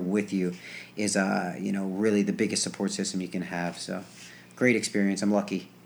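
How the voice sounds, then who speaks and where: Noticeable background noise sits behind this recording. A man with an American accent talks at a very fast pace. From New Jersey. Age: 20s. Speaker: gymnast. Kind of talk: casual chat. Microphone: old equipment, some feedback and quiet.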